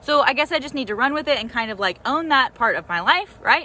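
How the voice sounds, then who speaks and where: Raised and projected, a woman's high-pitched voice carries an American accent, an animated tone and lively intonation. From US South, Nashville. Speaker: life coach. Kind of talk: motivational vlog talk. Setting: outdoors in a garden. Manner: loud.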